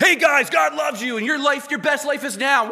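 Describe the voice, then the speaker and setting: In a put-on character voice, a man talks at a fairly quick pace with an extremely high pitch, his voice raised and projected. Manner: mocking, hyped-up.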